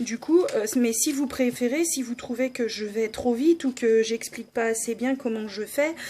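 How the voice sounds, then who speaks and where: A woman speaks at a fairly slow pace in a high pitch with ordinary pitch variation. Her tone is dark and mellow. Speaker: scrapbooking YouTuber. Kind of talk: crafting tutorial. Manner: hesitant, many fillers.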